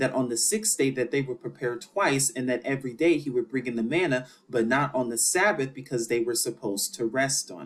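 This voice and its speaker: A man talks at a fairly quick pace and medium pitch with hardly any pauses and lively intonation. His loudness swings a lot, and there is noticeable background noise. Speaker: bible teacher. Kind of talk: scripture teaching lecture. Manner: fast.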